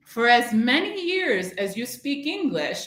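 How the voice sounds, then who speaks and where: In an American accent, a woman speaks at a high pitch with very wide pitch swings, and the room echo is audible. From US Midwest, Chicago. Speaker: English language teacher trainer. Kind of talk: educational webinar presentation. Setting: online live-streamed webinar. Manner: clear, teacher-like delivery.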